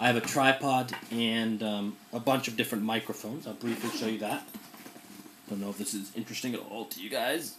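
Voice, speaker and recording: A man's medium-pitched voice, fairly quick and fairly even in intonation, over noticeable background noise. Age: 20s. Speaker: journalist. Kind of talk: casual talk to a class. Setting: recorded in his room. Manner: casual with many fillers.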